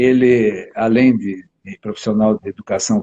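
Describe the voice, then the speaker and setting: With a dark, mellow tone, a man speaks at a fairly slow pace while his pitch swings very widely. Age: 70s. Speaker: family lawyer and health livestream host. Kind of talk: casual livestream interview. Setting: online livestream.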